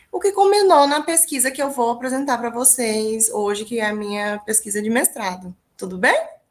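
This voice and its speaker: A woman's high voice with a Minas Gerais accent, very wide pitch swings, hardly any pauses and a moderate pace. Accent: mineiro accent, noticeable. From small town in interior of Minas Gerais, Brazil. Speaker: English teacher and researcher. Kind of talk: academic presentation.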